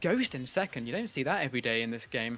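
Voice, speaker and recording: A man talks at a very fast pace with very wide pitch swings. Music plays in the background. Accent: British. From Britain. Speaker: esports commentator. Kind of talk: live commentary. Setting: live stream.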